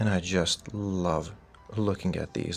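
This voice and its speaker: With music in the background, a soft-spoken man with a very deep, low voice talks with ordinary pitch variation. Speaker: card collector youtuber. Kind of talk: show-and-tell commentary.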